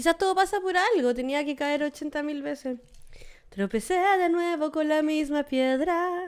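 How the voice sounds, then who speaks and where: A woman's high voice in a Chilean accent, fairly slow, with ordinary pitch variation and a quiet background. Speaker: comedy podcast co-host. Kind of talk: casual chat. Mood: relaxed, joking. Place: studio. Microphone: studio mic.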